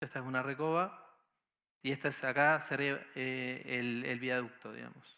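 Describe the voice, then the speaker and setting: A man speaks in a bright, sharp tone with monotone, flat intonation. The recording is very clean, with a silent background. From Argentina, Entre Ríos. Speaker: architect. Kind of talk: conference talk. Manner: halting, many fillers.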